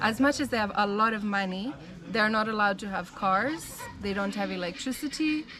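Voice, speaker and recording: With an American accent, a woman speaks fairly quickly at a fairly high pitch with ordinary pitch variation, and noticeable background noise is present. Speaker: missionary. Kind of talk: casual interview, life story.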